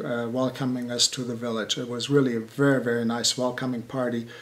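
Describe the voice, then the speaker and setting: A man in a German accent, medium pitch, monotone, flat intonation and a fairly quick pace. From Germany. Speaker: building contractor. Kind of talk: interview. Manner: halting.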